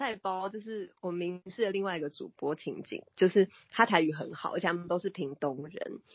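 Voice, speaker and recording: With a somewhat breathy, medium-pitched voice, a woman talks at a moderate pace with ordinary pitch variation and hardly any pauses. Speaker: sports news anchor, former baseball reporter. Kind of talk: casual chat. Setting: remote call.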